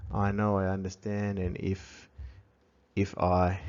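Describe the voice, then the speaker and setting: Very slowly and in a monotone, flat intonation, a man speaks with a very deep, low pitch. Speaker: language teacher. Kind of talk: tutorial. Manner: halting.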